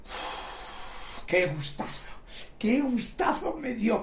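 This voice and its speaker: Amid noticeable background noise and audible room echo, a man's voice rises and falls through very wide pitch swings. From Galicia, Spain. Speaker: martial arts master. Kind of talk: casual chat.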